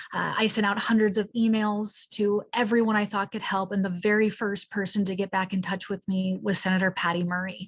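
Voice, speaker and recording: A woman talks at a fairly quick pace with hardly any pauses. Her medium-pitched voice is somewhat breathy, with monotone, flat intonation. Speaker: party member, advocate. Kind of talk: prepared speech at meeting. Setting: meeting.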